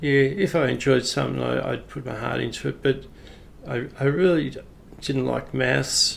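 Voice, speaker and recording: This man has an Australian accent and speaks at a moderate pace. Noticeable background noise runs under his voice. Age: 60s. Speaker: retired police officer. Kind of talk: personal storytelling. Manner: casual, hesitant with fillers.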